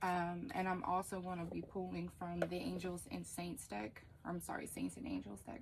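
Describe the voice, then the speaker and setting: Pitched fairly low, a woman's voice comes across somewhat breathy. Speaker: tarot reader. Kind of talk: tarot reading monologue. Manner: slow, hesitant with many fillers.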